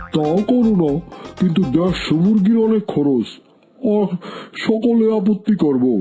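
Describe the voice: Faint music plays in the background of a cartoonish character voice. It sits at a middle pitch and moves at a moderate pace.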